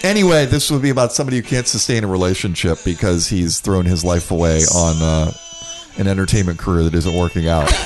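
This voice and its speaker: Against noticeable background noise, a man with a very deep, low pitch talks at a very fast pace, with ordinary pitch variation and very even loudness. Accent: American. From Florida, Orlando. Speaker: podcaster and comedian. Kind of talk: casual chat.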